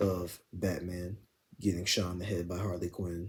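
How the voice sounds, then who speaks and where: A man whispers quietly at a fairly slow pace. His voice is somewhat breathy. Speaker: gaming commentary youtuber. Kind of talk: video commentary monologue. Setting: at home at night. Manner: near-whisper, quiet.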